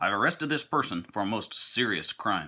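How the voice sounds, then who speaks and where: On a very clean recording with a silent background, a man performs a put-on character voice at a moderate pace. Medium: read story. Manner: gloomy.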